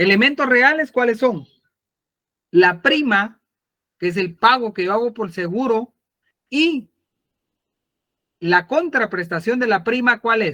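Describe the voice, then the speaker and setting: Here a man uses an extremely high pitch, a raised, projected voice and a bright, sharp tone. He goes at a very slow pace with long, frequent pauses and lively intonation. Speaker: law lecturer. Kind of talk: online lecture.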